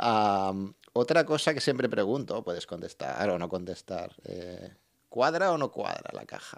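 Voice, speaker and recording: Against a quiet background, a man speaks at a fairly slow pace, with big swings in loudness and very wide pitch swings. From Barcelona. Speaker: podcast host. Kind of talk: interview. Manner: halting. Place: studio. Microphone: studio mic.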